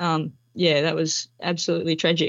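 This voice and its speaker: A woman with an Australian accent and vocal fry. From Melbourne, Australia. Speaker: former police officer and army reservist. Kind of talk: interview.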